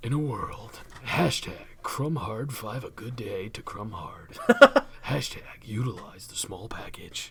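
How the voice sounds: Whispering in a put-on character voice, a man goes at a fairly slow pace over clear background noise.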